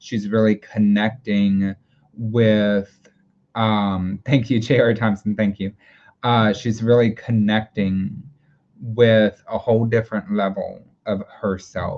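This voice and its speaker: Speaking very slowly, a man uses a fairly low pitch and a monotone, flat intonation. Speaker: tarot reader. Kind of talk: live tarot reading. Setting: livestream. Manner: halting, many filler words; slow when thinking.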